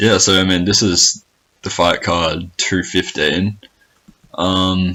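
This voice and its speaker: A man with an Australian accent talks in a flat monotone at a very deep, low pitch. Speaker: podcast host. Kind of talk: casual chat. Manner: repetitive, halting.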